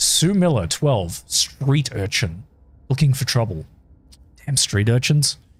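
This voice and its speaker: Music plays in the background as a man talks with an Australian accent. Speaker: gaming streamer. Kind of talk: live stream gameplay commentary. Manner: casual, chatty.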